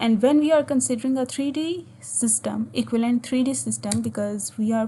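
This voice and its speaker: A woman talks at a fairly high pitch in a dark, mellow tone that is somewhat breathy. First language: Urdu or Hindi. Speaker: physics teacher. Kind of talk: tutorial. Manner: halting, with frequent fillers.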